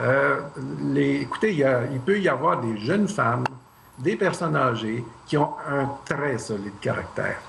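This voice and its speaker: A man with a medium pitch and very wide pitch swings talks at a fairly slow pace, with audible room echo and noticeable background noise. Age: 60s. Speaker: math professor, Mars mission candidate. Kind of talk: tv interview.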